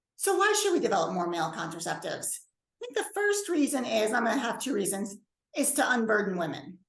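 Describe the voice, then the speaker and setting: A woman speaking at a fairly quick pace, with very wide pitch swings and audible room echo. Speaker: bioethics professor. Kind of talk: lecture. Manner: fast.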